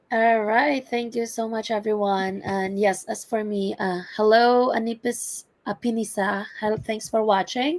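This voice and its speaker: A woman speaks at a fairly slow pace with a non-native accent. Her pitch sits fairly high. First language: not English. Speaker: entrepreneur, healthcare worker. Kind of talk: personal testimony in online webinar.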